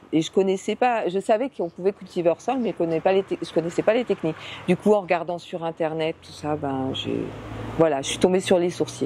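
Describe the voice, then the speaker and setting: A woman's fairly low-pitched voice at a fairly quick pace, with ordinary pitch variation and big swings in loudness, in a dry, close sound with no echo and noticeable background noise. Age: 60s. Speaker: beekeeper. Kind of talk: interview. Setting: greenhouse. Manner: hesitant, many fillers.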